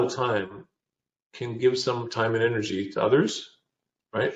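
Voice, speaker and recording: Speaking at a moderate pace, a man talks with a Canadian accent. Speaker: business founder and CEO. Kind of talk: interview. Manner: halting.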